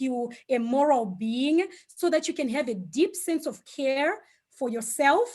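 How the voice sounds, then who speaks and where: A woman's high voice in a Zimbabwean accent, fairly slow, with lively intonation. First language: Shona. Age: 40s. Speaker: speaker on Ubuntu philosophy. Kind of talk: online talk. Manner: hesitant, many fillers.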